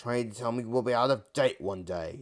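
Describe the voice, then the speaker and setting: In a put-on character voice, the speaker growls at a moderate pace with a raspy sound. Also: man. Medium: read story. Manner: growling, sneering.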